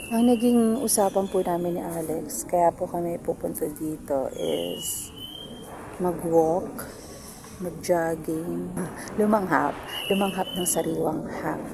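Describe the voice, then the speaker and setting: A soft-spoken woman talks at a very slow pace with a fairly low pitch and ordinary pitch variation, over noticeable background noise. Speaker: family vlogger. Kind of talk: casual vlog talk. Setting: outdoors. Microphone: no microphone.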